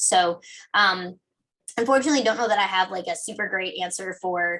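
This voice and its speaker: Her tone is bright and sharp. The woman speaks at a medium pitch with ordinary pitch variation. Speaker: software integration expert. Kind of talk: webinar Q&A answer. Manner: fast; halting, many fillers.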